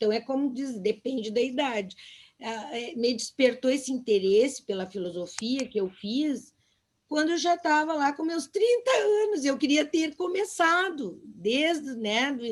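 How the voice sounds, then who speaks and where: A woman speaks at a high pitch and a moderate pace. Her intonation is lively. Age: 60s. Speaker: teacher. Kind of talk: casual chat. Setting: video call.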